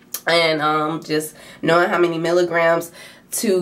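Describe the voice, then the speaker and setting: A woman speaks in a flat monotone at a fairly low pitch. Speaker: nursing student vlogger. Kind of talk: vlog. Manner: casual, filler-heavy; fast.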